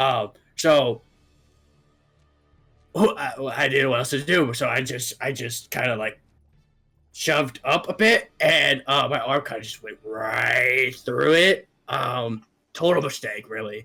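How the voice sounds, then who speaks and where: A raspy, put-on character voice moves at a fairly slow pace with long, frequent pauses as faint music plays in the background. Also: man, medium pitch for a man. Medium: actual play. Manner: rambling, hesitant.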